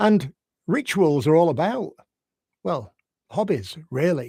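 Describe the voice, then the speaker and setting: In a Yorkshire accent, a man speaks very slowly on a very clean recording with a silent background. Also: dry, close sound with no echo. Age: 60s. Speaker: life coach. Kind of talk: unscripted live reflective talk. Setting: live video stream. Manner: gentle, unhurried.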